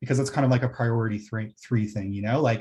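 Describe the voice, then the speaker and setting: A somewhat breathy man with ordinary pitch variation. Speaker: planning consultant presenting to council. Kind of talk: council meeting presentation. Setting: municipal council meeting. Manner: fast.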